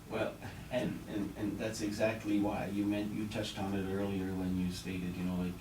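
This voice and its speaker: A man talks at a fairly low pitch. There is noticeable background noise and audible room echo. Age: 60s. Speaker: politician. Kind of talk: radio interview. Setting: radio studio. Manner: halting, many repeated words.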